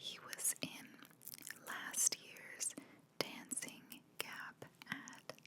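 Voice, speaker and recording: Someone whispers with long, frequent pauses amid noticeable background noise. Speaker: marketer. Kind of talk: ASMR marketing commentary. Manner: whispered; relaxed.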